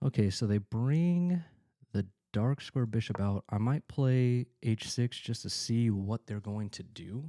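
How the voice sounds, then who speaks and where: A quiet man's voice, dark and mellow, medium pitch with ordinary variation, fairly slow pace, dry, close sound with no echo, very clean recording with a silent background. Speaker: chess streamer. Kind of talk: live game commentary. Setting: at home. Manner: halting.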